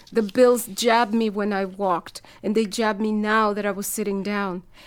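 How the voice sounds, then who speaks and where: The woman's voice sits fairly high. Her intonation is monotone and flat. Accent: Spanish. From El Salvador. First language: Spanish. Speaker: writer. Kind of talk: reading aloud.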